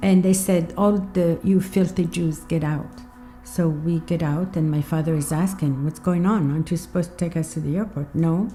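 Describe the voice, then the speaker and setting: Music plays in the background as the speaker talks at a moderate pace with fairly even intonation. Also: woman, fairly low pitch for a woman. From Libya. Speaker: activist, refugee from Libya. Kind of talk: documentary interview answer.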